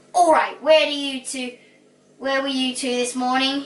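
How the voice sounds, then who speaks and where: A woman uses a put-on character voice, growling at a high pitch. Her pace is moderate and her intonation fairly even. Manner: growling, angry.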